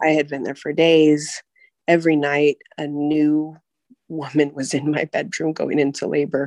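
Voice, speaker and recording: A woman speaks with an American accent at a very deep, low pitch. Her intonation is monotone and flat, and her pace is moderate. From US, California. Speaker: mother sharing birth story. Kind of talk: personal storytelling interview.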